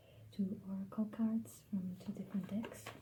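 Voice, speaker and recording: Soft-spoken and at a fairly slow pace, a woman talks at a medium pitch with ordinary pitch variation while music plays in the background. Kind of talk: ASMR tarot card reading.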